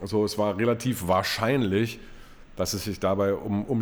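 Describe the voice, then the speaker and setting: A man is speaking. His pitch is fairly low and his intonation fairly even. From East Berlin. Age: 40s. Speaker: football club stadium announcer and press spokesman. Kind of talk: casual interview.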